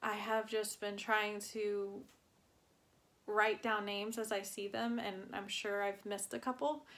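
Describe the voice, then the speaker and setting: A woman's plain, everyday voice at a medium pitch, with fairly even intonation and a fairly slow pace. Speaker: cross-stitch vlogger. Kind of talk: casual chat. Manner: relaxed, many fillers.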